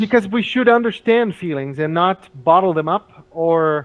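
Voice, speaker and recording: Speaking with a Portuguese accent, a man uses a high voice. His intonation is lively. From Brazil. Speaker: English teacher. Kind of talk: casual chat. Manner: halting.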